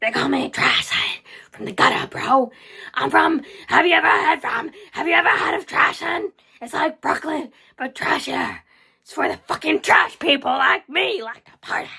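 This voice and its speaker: A put-on character voice, raspy and high-pitched, moves along at a moderate pace. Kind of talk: crude, slangy. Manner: boastful, party-loving.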